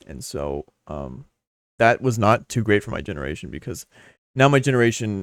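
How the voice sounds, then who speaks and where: Fairly low male voice with vocal fry, very wide pitch swings and a fairly quick pace. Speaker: podcast host. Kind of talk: solo podcast monologue. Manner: fast; halting, stumbles over words.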